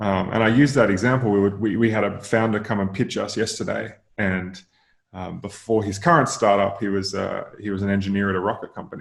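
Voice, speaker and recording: A man speaks with an Australian accent at a fairly quick pace. His pitch is fairly low. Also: ordinary pitch variation. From Australia, rural Queensland. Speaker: venture capital investor. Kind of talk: podcast interview. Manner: hesitant, many fillers and repeats.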